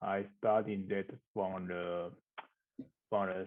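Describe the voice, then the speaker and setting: Very slowly, a man speaks with a Mandarin accent. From Taiwan. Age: 30s. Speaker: architectural designer. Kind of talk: interview. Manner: halting.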